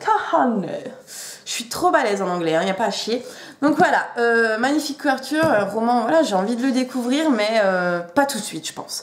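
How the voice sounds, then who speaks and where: A woman speaks in an animated tone with lively intonation, with audible room echo around her. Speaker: booktuber. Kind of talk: casual chat. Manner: hesitant, many fillers.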